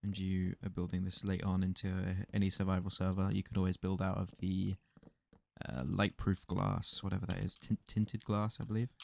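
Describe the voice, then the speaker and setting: The man's pitch is very deep and low, with fairly even intonation. The sound is dry and close, with no echo. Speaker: gaming YouTuber. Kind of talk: let's play commentary. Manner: fast.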